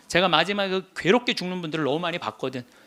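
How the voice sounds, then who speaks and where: A man's high, bright, sharp voice, animated in tone and lively in intonation. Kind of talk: lecture.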